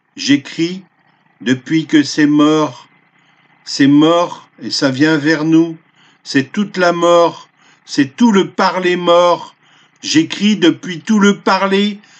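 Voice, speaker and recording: A man with a high pitch talks at a very slow pace, leaving long, frequent pauses. His pitch variation is ordinary. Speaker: poet. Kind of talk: improvised spoken poetry. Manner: breathless, stumbling, spluttering delivery.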